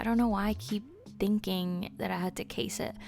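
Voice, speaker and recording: Music plays in the background. A woman speaks with a Spanish accent. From Spanish-speaking country. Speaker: Sims gaming YouTuber. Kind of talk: casual build commentary. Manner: hesitant, filler-heavy.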